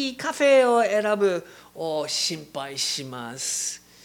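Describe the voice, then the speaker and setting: Speaking in an English accent, a man goes at a very slow pace. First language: English (speaking Japanese). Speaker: missionary preacher. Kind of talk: sermon. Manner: halting, many fillers.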